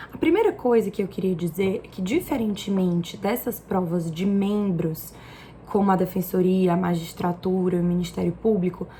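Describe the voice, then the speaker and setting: A woman's voice over noticeable background noise. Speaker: exam-prep tutor and vlogger. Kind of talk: casual vlog tutorial.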